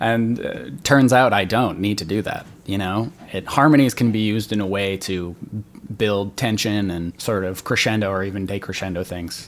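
Speaking at a moderate pace, a man has an ordinary speaking voice with a fairly low pitch. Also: ordinary pitch variation. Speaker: composer, musician and singing teacher. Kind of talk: casual interview chat.

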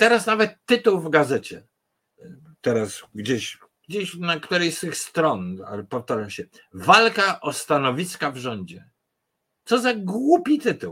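This man's voice is high-pitched and swings very widely in pitch. He talks at a fairly slow pace. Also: big swings in loudness. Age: old. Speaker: political commentator. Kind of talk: political commentary livestream. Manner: halting.

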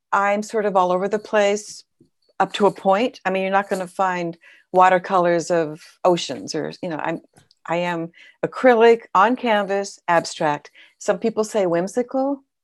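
A woman's voice, an ordinary speaking voice, at a medium pitch and moderate pace, with ordinary pitch variation and a very clean recording, silent background. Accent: American. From Southern California, LA County. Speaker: abstract painter, retired teacher. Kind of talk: casual interview.

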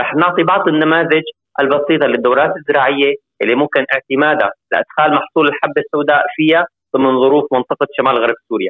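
In a normal speaking voice, a man talks at a fairly high pitch, his intonation fairly even and his loudness very even. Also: fairly quick pace. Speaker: agricultural engineer. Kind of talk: interview.

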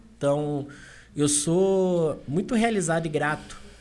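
There is audible room echo around a man talking with ordinary pitch variation. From Valença, Rio de Janeiro state, Brazil. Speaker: business consultant. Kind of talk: casual chat.

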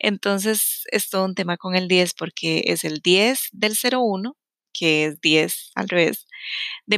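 On a very clean recording with a silent background, a woman speaks in a Costa Rican accent with ordinary pitch variation. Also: dry, close sound with no echo. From Costa Rica, San José. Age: 30s. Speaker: podcast host, self-knowledge coach. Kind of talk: personal storytelling monologue.

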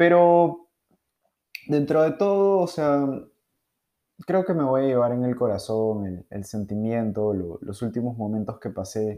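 A man speaks with a Peruvian accent at a medium pitch and a fairly slow pace. His pitch swings very widely, broken by long, frequent pauses. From Peru, Lima. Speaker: podcaster. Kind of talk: casual monologue. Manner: halting, many fillers.

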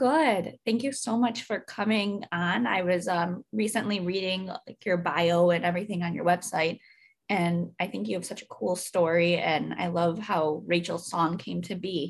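A woman with a plain, everyday voice speaks in a fairly low pitch with ordinary pitch variation and hardly any pauses. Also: moderate pace. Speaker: podcast host. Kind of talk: casual interview.

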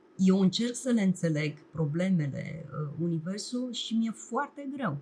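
A woman speaks at a fairly slow pace in a somewhat breathy voice. Her pitch swings very widely. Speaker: television producer and documentary director. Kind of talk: casual chat. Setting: studio.

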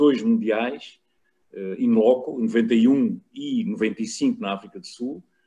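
The man's tone is dark and mellow. His intonation stays lively. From Portugal, Lisbon. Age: 60s. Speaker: rugby journalist and former player. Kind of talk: casual chat.

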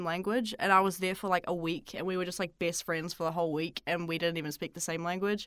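Here a woman speaks with a New Zealand accent. Her voice is medium in pitch. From Auckland, New Zealand. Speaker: local student guest. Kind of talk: casual conversation.

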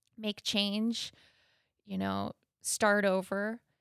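A woman talks with a Canadian accent. The sound is dry and close, with no echo. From Canada, Thunder Bay, Ontario. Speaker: artist and yoga teacher. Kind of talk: interview.

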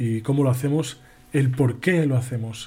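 A man's somewhat breathy, dark, mellow voice at a fairly high pitch, fairly slow and fairly even in intonation. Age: 20s. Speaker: podcast host on spirituality. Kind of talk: live-stream monologue. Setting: live stream.

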